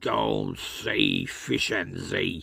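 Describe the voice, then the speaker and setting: A man mumbles and growls in a put-on character voice. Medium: read story. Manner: mumbling, slurred.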